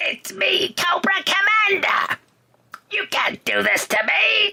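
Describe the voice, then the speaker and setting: This raspy, put-on character voice has an extremely high pitch. It moves at a fairly slow pace. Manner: hissing, menacing.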